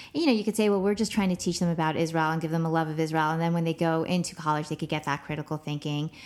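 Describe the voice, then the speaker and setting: On a very clean recording with a silent background, a woman speaks very fast at a fairly low pitch with fairly even intonation. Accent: American. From Los Angeles, US. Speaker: professor. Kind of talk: interview.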